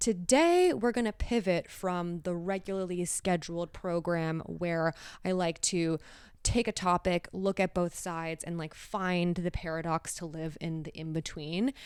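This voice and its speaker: On a very clean recording with a silent background, a woman with an unremarkable speaking voice talks at a fairly slow pace, pitched fairly low, with fairly even intonation. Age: 30s. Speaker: artist and podcaster. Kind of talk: podcast intro, casual talk. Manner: relaxed, friendly.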